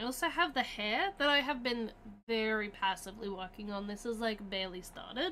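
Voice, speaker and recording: A woman's fairly high voice with a bright, sharp tone, lively intonation and an Australian accent. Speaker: streamer. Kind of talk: casual chat. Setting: livestream. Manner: casual, filler-heavy.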